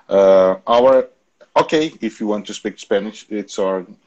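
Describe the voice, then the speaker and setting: This is a man speaking. He has a Portuguese accent. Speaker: educational channel host, interviewer. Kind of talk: video interview. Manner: halting, many fillers and repetitions.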